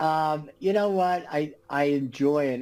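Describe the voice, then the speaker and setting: A man with an American accent speaks in a normal speaking voice at a fairly slow pace and fairly high pitch, with ordinary pitch variation, in a very clean recording with a silent background. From Los Angeles, US West Coast. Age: 60s. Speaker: retired business executive and author. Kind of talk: interview.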